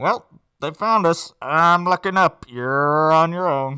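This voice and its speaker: A put-on character voice at a middle pitch and fairly slow pace, on a very clean recording with a silent background. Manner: dry, deadpan.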